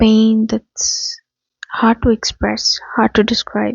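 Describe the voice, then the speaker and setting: A woman is speaking. Her voice is quiet. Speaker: spiritual reader. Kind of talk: channeled spiritual message. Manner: quiet, low volume; halting, choking on words.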